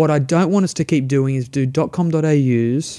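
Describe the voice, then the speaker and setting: With an Australian accent, a man speaks in a fairly high pitch with a dark, mellow tone and fairly even intonation on a very clean recording with a silent background. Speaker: startup entrepreneur. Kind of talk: interview conversation. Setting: studio.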